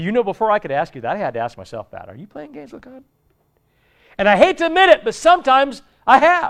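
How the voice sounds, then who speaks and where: Against a quiet background, a high-pitched man talks at a very fast pace with very wide pitch swings and big swings in loudness. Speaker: pastor. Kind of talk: sermon. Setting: church. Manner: animated.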